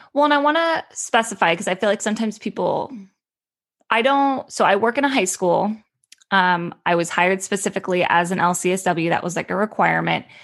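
Speaking fairly quickly with a Californian accent, a woman uses a medium pitch and lively intonation. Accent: Californian Valley girl sound. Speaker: school social worker. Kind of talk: casual interview. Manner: frequent likes and ums.

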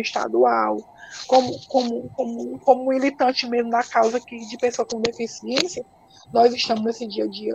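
Noticeable background noise behind a woman's fairly high voice, fairly even intonation, moderate pace. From Ceará, Brazil (interior). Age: 40s. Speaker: patient advocate with multiple sclerosis. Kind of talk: interview on a live stream. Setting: online live stream. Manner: halting, with repetitions.

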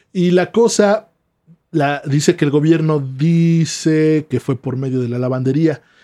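A fairly high-pitched man's voice with a Mexican accent, a dark, mellow tone, and a fairly slow pace. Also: ordinary pitch variation. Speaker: podcast co-host. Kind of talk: storytelling.

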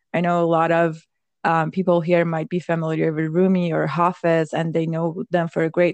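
Fairly slow speech from a woman with a Persian accent and fairly low pitch, against a quiet background. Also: dry, close sound with no echo. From Iran. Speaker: podcast co-host, tech worker. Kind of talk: casual chat.

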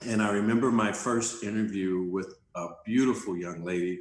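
A man with an ordinary speaking voice talks at a moderate pace with an American accent, a fairly low pitch and fairly even intonation. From South Central Los Angeles. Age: 50s. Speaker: life coach and entrepreneur. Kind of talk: interview conversation.

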